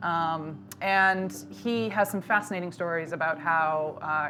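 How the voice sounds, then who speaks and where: Music plays in the background as a voice with an American accent speaks with ordinary pitch variation. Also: woman. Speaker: wine importer. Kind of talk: casual chat. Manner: frequent filler 'um'.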